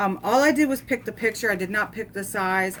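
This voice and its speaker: A woman's lively intonation carries her words along at a moderate pace. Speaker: crafting youtuber. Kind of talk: unboxing tutorial. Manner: loud; casual, filler-heavy.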